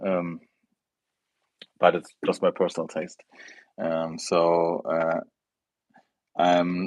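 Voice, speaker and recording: The speaker talks at a very slow pace in a German accent. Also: man. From Germany. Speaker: fragrance youtuber. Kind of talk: live stream chat. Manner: halting.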